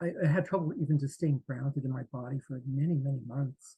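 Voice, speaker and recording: A man speaks at a moderate pace in a fairly high, dark, mellow voice. It is somewhat breathy and dry and close, with no echo. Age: 60s. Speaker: near-death experience survivor and artist. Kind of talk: interview testimony. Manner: halting, many fillers and restarts.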